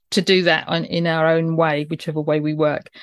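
A woman with a British accent speaks at a moderate pace against a quiet background, and the sound is dry and close with no echo. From UK. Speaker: podcast host. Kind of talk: interview with scripted intro.

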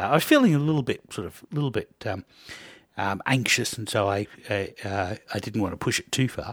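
Dry and close with no echo, this very clean recording on a silent background has a man with an Australian accent speaking with ordinary pitch variation. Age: 50s. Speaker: podcast host and biochemistry student. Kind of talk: casual interview.

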